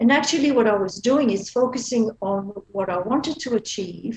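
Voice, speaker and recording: This woman speaks with a Belgian accent and a somewhat breathy voice. Her pitch varies in an ordinary way. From Belgium. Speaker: feng shui practitioner. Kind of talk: interview. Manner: hesitant, with filler words.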